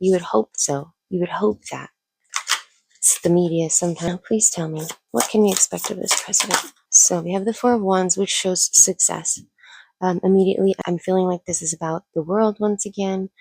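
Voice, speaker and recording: A woman speaks at a moderate pace and medium pitch, with ordinary pitch variation. The sound is dry and close, with no echo. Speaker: tarot reader. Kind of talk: tarot reading to camera. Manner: casual and chatty; lowered voice.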